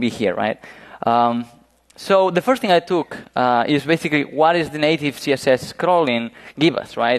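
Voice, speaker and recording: In a Spanish accent, a man speaks at a fairly high pitch with ordinary pitch variation. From Spain, Galicia (northwest). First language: Spanish or Galician. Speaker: web performance engineer. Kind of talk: conference talk. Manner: halting, many fillers.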